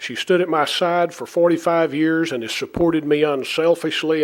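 A man speaks with an ordinary speaking voice. His pitch is fairly high. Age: 60s. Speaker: city mayor. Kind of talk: formal resignation speech. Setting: city council meeting. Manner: formal.

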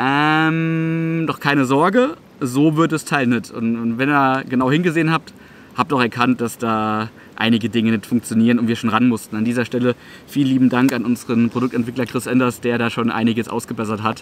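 At a moderate pace and with few pauses, a man speaks with fairly even intonation. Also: medium pitch for a man.

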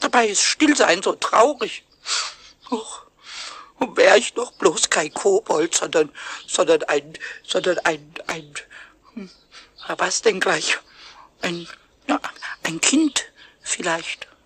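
The speaker uses a put-on character voice with a fairly high pitch. Delivery is very slow, broken by long, frequent pauses. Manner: cheeky, rhyming, stubborn.

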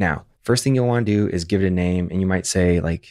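Against a quiet background, a man talks in a very deep, low voice with fairly even intonation. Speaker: software tutorial host. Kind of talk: tutorial.

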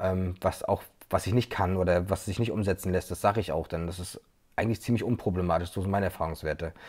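A man with a very deep, low pitch talks at a very fast pace, somewhat breathy. His intonation is fairly even, and the background is quiet. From Mecklenburg-Vorpommern, Güstrow; Mecklenburg-Vorpommern. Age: 30s. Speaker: videographer; guest. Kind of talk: interview. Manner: hesitant, many fillers. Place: home room. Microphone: earbuds.

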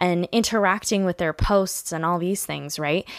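In a dry sound with no echo and a quiet background, a woman speaks in an animated tone at a moderate pace. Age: 20s. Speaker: podcast host; podcast host, blogger. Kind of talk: casual monologue. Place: home room. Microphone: studio mic.

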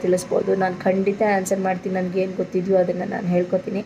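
A woman's medium-pitched voice comes through with noticeable background noise around it. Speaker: vlogger and village service centre owner. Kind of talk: informational vlog.

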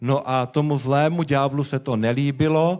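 The background is quiet. A man with a Czech accent speaks at a moderate pace. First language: Czech (speaking Slovak). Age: young. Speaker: guest. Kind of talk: testimony. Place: church. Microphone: handheld.

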